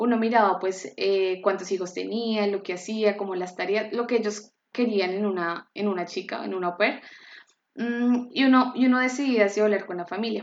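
A woman with a plain, everyday voice speaks at a moderate pace and medium pitch with fairly even intonation. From Colombia (Bogotá). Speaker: cooking apprentice. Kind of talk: interview.

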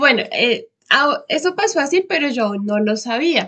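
In a high voice, a woman speaks at a fairly slow pace. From Colombia, Bogotá. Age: 20s. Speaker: vocational trainee. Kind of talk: interview.

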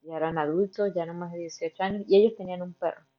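In an unremarkable speaking voice, a woman talks at medium pitch with fairly even intonation. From Venezuela, Barinas (western Venezuela). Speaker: pharmacy trainee, former au pair. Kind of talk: casual interview.

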